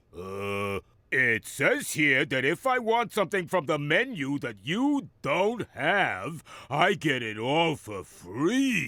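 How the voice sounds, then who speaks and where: Putting on a cartoonish character voice, a man drawls at a very slow pace in a fairly high pitch with very wide pitch swings. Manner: hungry, gleeful.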